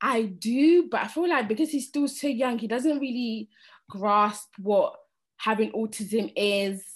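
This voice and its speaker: Fairly high female voice in a London accent, fairly slow, with ordinary pitch variation and a quiet background. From London, raised there from age 8-9; born in Sierra Leone. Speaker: cleaner and single parent. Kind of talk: personal testimony.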